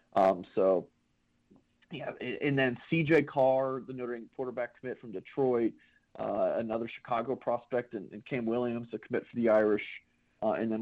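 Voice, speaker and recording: The man talks at a moderate pace. His intonation stays fairly even. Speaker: sports analyst co-host. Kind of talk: casual sports chat. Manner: casual, filler-heavy, halting.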